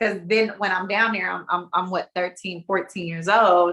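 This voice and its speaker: A woman with a medium pitch and a bright, sharp tone. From US West Coast, California (Bay Area). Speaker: podcast co-host. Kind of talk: casual chat. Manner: animated, repetitive stammering.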